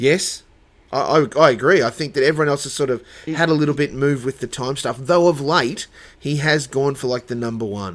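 Speaking with an Australian accent, a man talks at a fairly quick pace and fairly high pitch. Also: ordinary pitch variation. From Dubbo, New South Wales, Australia. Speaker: church worker. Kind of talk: casual chat.

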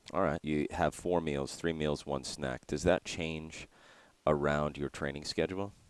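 In a dry, close recording with no echo, a man with a very deep, low pitch speaks at a fairly slow pace with fairly even intonation. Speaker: podcast host. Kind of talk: interview, casual conversational.

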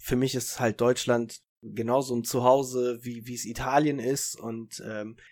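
The man talks at a fairly slow pace and medium pitch. His intonation is monotone and flat. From northern Germany, Italian parents. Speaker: podcast co-host. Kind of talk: casual chat.

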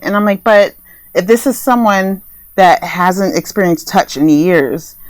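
A woman's ordinary speaking voice with an American accent, lively intonation and a moderate pace, in a very clean recording with a silent background. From US Northeast, New Jersey. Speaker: sex therapist. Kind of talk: casual podcast interview.

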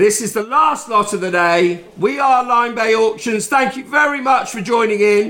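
A man's raised, projected voice at a high pitch and moderate pace, over noticeable background noise. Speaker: auctioneer and podcast host. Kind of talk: charity auction, live bidding patter. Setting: lifeboat station, live auction with audience. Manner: jovial, chatty.

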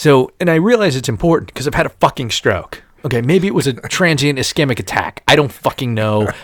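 Hardly pausing, a man talks at a fairly quick pace in a fairly high pitch, with an animated tone and lively intonation. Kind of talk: stand-up style comic rant, profane storytelling about his stroke MRI. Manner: animated, indignant, sarcastic, swearing-heavy, punchy delivery with exasperated emphasis.

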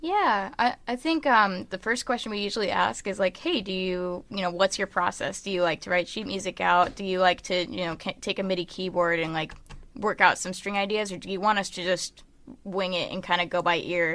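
A woman speaks at a fairly quick pace with an American accent and a bright, sharp tone. Her pitch is medium, with ordinary variation. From Michigan, US Midwest. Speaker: indie band musician and songwriter. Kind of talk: casual interview chat.

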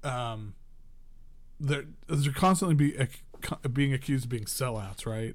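Somewhat breathy, a man talks at a moderate pace. His pitch variation is ordinary. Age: 40s. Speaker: podcast co-host, music magazine editor. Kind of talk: casual chat. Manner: halting.

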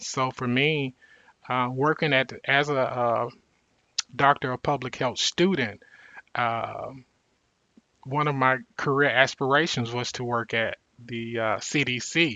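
A man with an American accent speaks at a very slow pace in a medium pitch. His speech has long, frequent pauses. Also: fairly even intonation. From US South, Mississippi. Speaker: public health fellow and doctoral student. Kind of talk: interview. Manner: hesitant, many fillers.

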